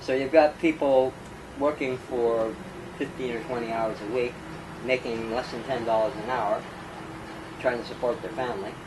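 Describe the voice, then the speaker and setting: A man with a Canadian accent talks at a moderate pace and medium pitch, with fairly even intonation. He leaves long, frequent pauses, and there is noticeable background noise. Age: 60s. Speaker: former homeless man, activist. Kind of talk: interview. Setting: at his home.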